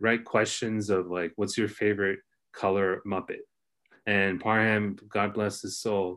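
A man with a Californian accent speaks at a fairly low pitch in a monotone, flat intonation. The background is quiet. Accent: Californian American. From Los Angeles area. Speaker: former student, writer. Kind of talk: casual interview chat.

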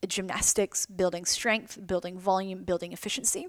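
In a dry, close recording with no echo, a woman speaks at a medium pitch with an animated tone. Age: 30s. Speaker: podcast host and competitive CrossFit athlete. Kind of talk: solo podcast monologue. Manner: animated, laughing often.

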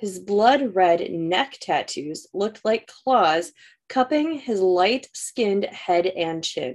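An unforced reading voice with lively intonation carries over a quiet background.

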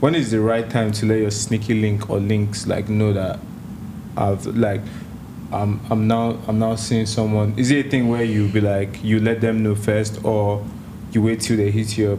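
A man speaks at a moderate pace in a fairly low voice with very even loudness. Noticeable background noise is present. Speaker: podcast host. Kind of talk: casual podcast chat. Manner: energetic, slangy.

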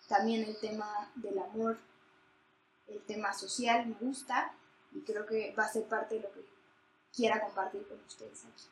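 Fairly high-pitched and monotone, a woman speaks at a fairly slow pace with long, frequent pauses and big swings in loudness. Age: 20s. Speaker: podcast co-host, economics student. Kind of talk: casual chat.

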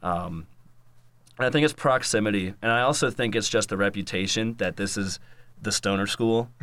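In an American accent, a man with an unremarkable speaking voice talks at a fairly low pitch and a moderate pace, with ordinary pitch variation and a very clean recording over a silent background. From North Carolina, Raleigh. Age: 20s. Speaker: musician and YouTuber. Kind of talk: casual chat.

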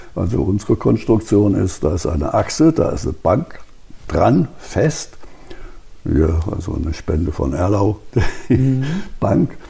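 Over noticeable background noise, a man speaks at a fairly slow pace and fairly low pitch, his pitch swinging very widely, with long, frequent pauses. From Hesse, Germany (Marburg). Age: 80s+. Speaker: retired optics professor and museum founder. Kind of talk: interview and guided museum tour. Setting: in a barn museum.

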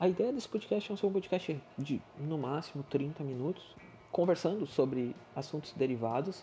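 Over background music, a man speaks at a moderate pace. His fairly high voice has lively intonation. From southern Brazil, Rio Grande do Sul. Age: 30s. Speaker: podcast host. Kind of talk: casual solo monologue.

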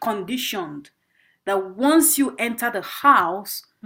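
A woman speaks with a Nigerian accent. Her intonation is lively. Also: very clean recording, silent background. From northern Nigeria, Bauchi State. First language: Igbo. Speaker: performance artist and graduate student. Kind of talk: interview.

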